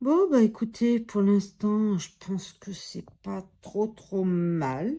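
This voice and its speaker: At a very slow pace, a woman with a dark, mellow tone speaks at medium pitch, with lively intonation and big swings in loudness. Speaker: coloring tutorial youtuber. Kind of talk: tutorial. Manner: halting; soft-spoken.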